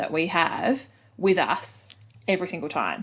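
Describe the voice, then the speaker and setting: A woman with an Australian accent at a moderate pace, in a very clean recording with a silent background. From Australia, Adelaide. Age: 30s. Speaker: head of marketing at a football club. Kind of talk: podcast interview. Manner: casual, many fillers.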